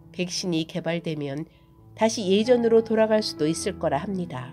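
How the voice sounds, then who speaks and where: Music plays in the background as a woman speaks in a calm, gentle tone. Her pitch is fairly low and her intonation lively. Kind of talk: reflective essay narration.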